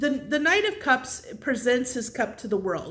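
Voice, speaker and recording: At a moderate pace, the voice carries audible room echo. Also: woman. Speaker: tarot reader. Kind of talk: tarot reading monologue. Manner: halting, many fillers and restarts.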